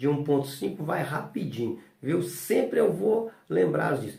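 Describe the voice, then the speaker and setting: A man with a fairly high pitch and very wide pitch swings is heard over noticeable background noise, with audible room echo. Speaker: notary and law teacher. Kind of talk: lecture. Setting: recorded at home. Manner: casual, filler-heavy.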